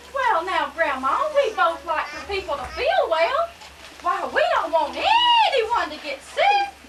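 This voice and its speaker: In a put-on character voice, a woman talks at a fairly slow pace with extremely high pitch, very wide pitch swings and big swings in loudness, over clear background noise. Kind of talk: amateur church play.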